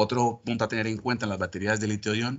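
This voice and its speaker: Against a quiet background, a man talks at a very fast pace in a monotone, flat intonation. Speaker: lab technician. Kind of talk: technical presentation. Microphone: video call.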